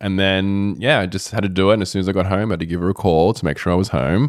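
A man with an Australian accent talks very fast in a fairly low voice, on a very clean recording with a silent background. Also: dry, close sound with no echo. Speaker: guest, host's fiancé, yoga practitioner. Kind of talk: casual conversation.

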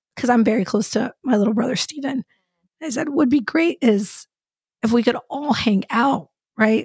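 A woman speaks at a high pitch and a moderate pace, her tone animated. She shows ordinary pitch variation, and the sound is dry and close with no echo. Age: 40s. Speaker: podcast co-host. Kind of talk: casual chat.

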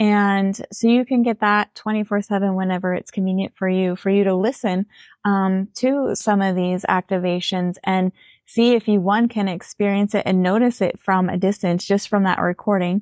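Against a quiet background, a woman talks at a moderate pace in a monotone, flat intonation, her loudness very even and the sound dry and close with no echo. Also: medium pitch for a woman. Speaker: intuitive healer.

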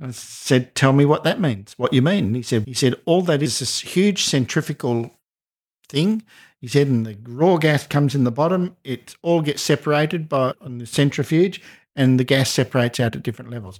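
This man has an Australian accent, a fairly high pitch and ordinary pitch variation at a fairly quick pace. His loudness swings widely in a very clean recording with a silent background. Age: 60s. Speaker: speaking coach. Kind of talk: casual chat.

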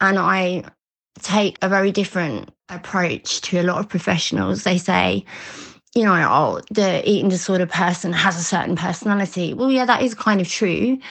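This English-accented voice carries vocal fry at a moderate pace. Its loudness stays very even throughout. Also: woman, medium pitch for a woman, ordinary pitch variation. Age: 40s. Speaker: eating disorder recovery coach. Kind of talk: interview testimony. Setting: remote call. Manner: warm, smiling.

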